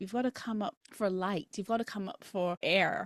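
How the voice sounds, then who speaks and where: Speaking with a Barbadian accent, a woman talks at a moderate pace in a medium pitch. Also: dry, close sound with no echo. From Barbados. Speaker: dietitian and academic mother. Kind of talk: interview conversation.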